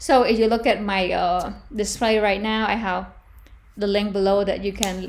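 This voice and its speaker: A woman with a non-native accent speaks at a fairly slow pace, her pitch medium and her intonation fairly even. Audible room echo surrounds her voice. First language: not English. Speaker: fashion design tutor. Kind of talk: tutorial. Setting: live stream.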